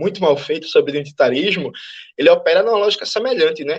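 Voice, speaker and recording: This man's voice sits high. His intonation moves in a lively way. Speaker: Marxist activist and panel speaker. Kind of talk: lecture. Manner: fast.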